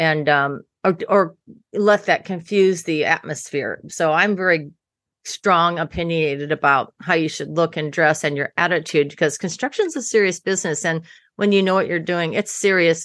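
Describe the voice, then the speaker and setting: A woman's fairly low voice at a moderate pace, with ordinary pitch variation, a quiet background and an ordinary speaking voice. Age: 60s. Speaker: designer and general contractor. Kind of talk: interview.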